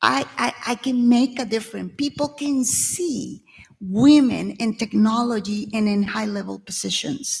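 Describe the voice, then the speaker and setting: Somewhat breathy and fairly high, a woman's voice with a Venezuelan accent moves at a fairly slow pace with ordinary pitch variation. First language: Spanish. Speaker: tech executive and panelist. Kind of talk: panel discussion.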